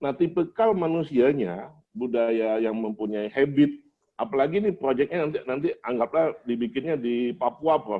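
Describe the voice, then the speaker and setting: At a moderate pace, a man with a medium-pitched voice speaks with very wide pitch swings. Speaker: doctoral candidate and engineering manager. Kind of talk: doctoral thesis defense. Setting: open doctoral examination with audience. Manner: formal.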